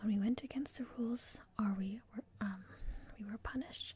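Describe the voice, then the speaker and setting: A woman's soft-spoken whisper, somewhat breathy. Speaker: ASMR creator. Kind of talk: ASMR book reading to help sleep. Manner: soft-spoken and whispered.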